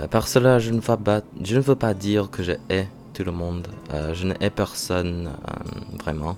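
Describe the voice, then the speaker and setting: A man with a very deep, low pitch, at a fairly slow pace with ordinary pitch variation, over noticeable background noise. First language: not French (learner) (speaking French). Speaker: vlogger, French learner. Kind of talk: vlog monologue, reading own thoughts. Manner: halting, many hesitations.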